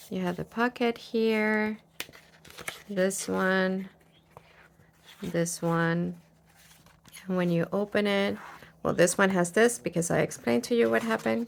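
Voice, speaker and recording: A woman with a non-native accent speaks at a medium pitch and a fairly slow pace, using lively intonation. She leaves long, frequent pauses. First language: not English. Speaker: crafter, craft video creator. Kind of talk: tutorial. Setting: home craft studio. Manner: casual, hesitant with fillers.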